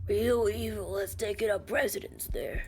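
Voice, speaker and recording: Someone puts on a character voice at a moderate pace, with clear background noise behind it. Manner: ominous warning.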